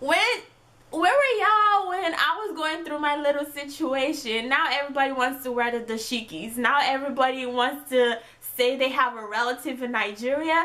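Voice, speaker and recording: A woman's high, raised, projected voice carries an animated tone and lively intonation at a moderate pace, with noticeable background noise and audible room echo. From Italy (Perugia), then Texas. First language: Italian. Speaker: YouTube vlogger. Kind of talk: casual chat to camera.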